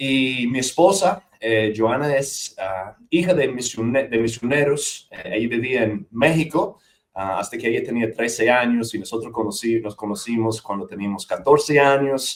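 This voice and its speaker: A man's medium-pitched voice at a fairly slow pace, lively in intonation, with hardly any pauses. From US South, north Georgia mountains. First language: English (speaking Spanish). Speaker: missionary church planter and seminary teacher. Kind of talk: interview conversation.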